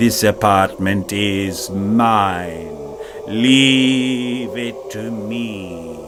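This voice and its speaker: A man uses a put-on character voice at a medium pitch. He speaks at a very slow pace over loud background noise. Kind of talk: audio drama narration. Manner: doleful.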